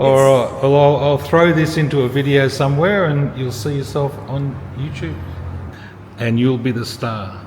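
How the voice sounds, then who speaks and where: A man with an Australian accent, fairly high in pitch, at a moderate pace with ordinary pitch variation, audible room echo and music in the background. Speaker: travel vlogger. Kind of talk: travel vlog narration; casual chat. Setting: outdoors on a boat. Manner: casual.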